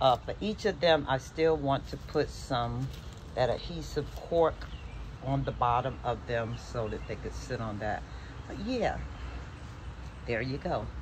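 A woman at a fairly slow pace with long, frequent pauses and noticeable background noise. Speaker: craft vlogger. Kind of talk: casual vlog. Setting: outdoors on deck gazebo. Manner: rambling with fillers. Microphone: phone near.

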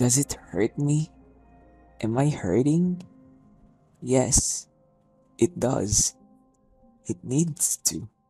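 A man talks at a very slow pace with lively intonation. The sound is dry and close with no echo, and music plays in the background. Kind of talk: spoken word poetry performance.

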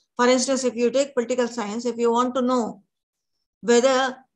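A woman's voice, high in pitch. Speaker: teacher. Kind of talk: lecture. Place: home room.

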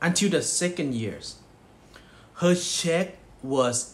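Light background noise sits behind a man speaking. He has a Thai accent and a very slow pace. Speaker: network marketing distributor. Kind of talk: motivational speech. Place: home room. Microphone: phone near.

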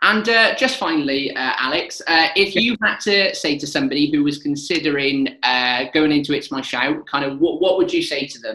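The speaker has a Welsh accent and lively intonation at a fairly quick pace. The background is quiet, with audible room echo. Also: man, fairly high pitch for a man. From Wales. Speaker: local TV presenter. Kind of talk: interview. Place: home room. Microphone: webcam.

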